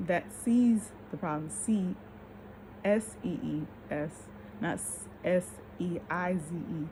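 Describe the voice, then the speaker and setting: A woman's fairly low voice with lively intonation. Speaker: vlogger. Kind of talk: casual monologue vlog. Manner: slurred speech from tiredness; halting, stammering.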